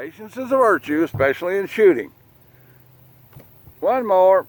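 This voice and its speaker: A man with a Southern US accent speaks at a moderate pace in a relaxed tone and a high pitch, his voice swinging very widely in pitch, with a dry, close sound and no echo. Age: 60s. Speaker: gun channel host. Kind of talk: casual shooting commentary. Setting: outdoors at a gun range. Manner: casual, relaxed.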